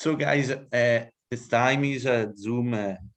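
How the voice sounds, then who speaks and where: A man talks with an Italian accent. His intonation stays fairly even. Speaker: music interviewer. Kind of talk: interview. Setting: video call. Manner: halting.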